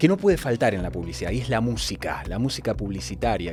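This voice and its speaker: A man speaks at a medium pitch with very wide pitch swings. Music plays in the background. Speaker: commercial voice-over announcer. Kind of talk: podcast host introduction.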